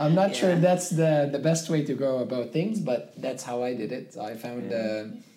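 A man with a North African accent speaks at a moderate pace with hardly any pauses, a fairly high pitch and lively intonation, over noticeable background noise. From Libya, Zwara. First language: Tamazight. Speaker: videographer and entrepreneur. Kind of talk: interview conversation.

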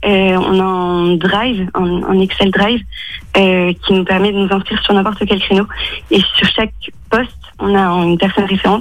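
With very even loudness and flat, monotone intonation, a woman speaks over noticeable background noise. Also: medium pitch for a woman, moderate pace. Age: 20s. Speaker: mathematics teacher and charity volunteer. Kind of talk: radio interview. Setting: phone call from home. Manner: hesitant, many fillers.

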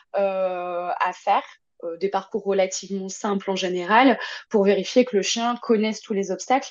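A woman's plain, everyday voice, medium in pitch, at a moderate pace with ordinary pitch variation. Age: 20s. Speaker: dog behaviourist and agility trainer. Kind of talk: casual interview.

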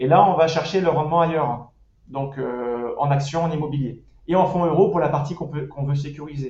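There is audible room echo as a man speaks at a moderate pace and a fairly high pitch. His intonation stays fairly even. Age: 30s. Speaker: personal finance website creator. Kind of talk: casual interview. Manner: hesitant with fillers.

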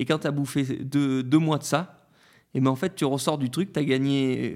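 Very clean, with a silent background, this recording holds a man's fairly high voice. He talks at a moderate pace in a monotone, flat intonation. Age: 30s. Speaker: Paralympic para-cyclist. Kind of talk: interview.

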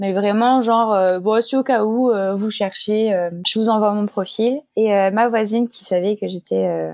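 This woman's pitch sits fairly high, and she keeps a moderate pace. Her intonation is fairly even. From Marseille, southern France. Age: 20s. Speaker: cabaret dancer. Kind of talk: interview conversation. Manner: hesitant, many fillers.

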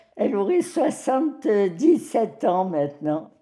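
A woman's fairly high voice, dark and mellow in tone, with very wide pitch swings. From Algeria. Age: 90s. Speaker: elderly woman sharing life story. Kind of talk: personal testimony.

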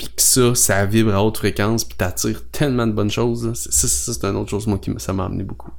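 A man talks at a fairly quick pace in a Quebec accent. His fairly low voice makes very wide pitch swings. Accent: Québécois French. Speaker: podcast co-host, copywriting strategist. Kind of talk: casual chat.

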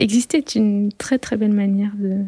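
Her medium-pitched voice is somewhat breathy, with a dark, mellow tone. She speaks in a flat monotone, and the sound is dry and close with no echo. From rural France. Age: 30s. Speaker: sound engineering student, bullying survivor. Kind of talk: testimony. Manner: halting, many hesitations and repeated words.

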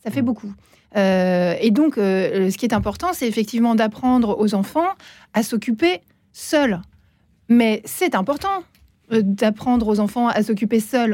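Speaking very slowly with long, frequent pauses, a woman keeps her loudness very even. Her voice is fairly high-pitched with a dark, mellow tone and lively intonation. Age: 40s. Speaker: primary school teacher and columnist. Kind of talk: radio discussion.

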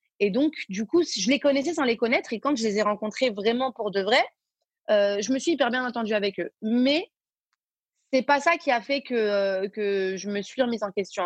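Dry and close with no echo, a woman's fairly high voice moves at a fairly quick pace. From Belgium. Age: 20s. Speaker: singer and social media influencer. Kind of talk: casual interview. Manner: halting, many fillers and repetitions.

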